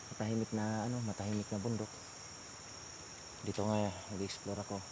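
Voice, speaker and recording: A man speaks at a moderate pace in a fairly low voice. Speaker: outdoor explorer vlogger. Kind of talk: vlog narration. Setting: outdoors. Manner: soft-spoken.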